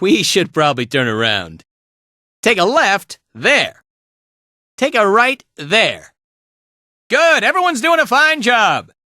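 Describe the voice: In a put-on character voice, a man speaks high and slowly with very wide pitch swings, a bright, sharp tone and long, frequent pauses, in a very clean recording with a silent background and a dry, close sound with no echo.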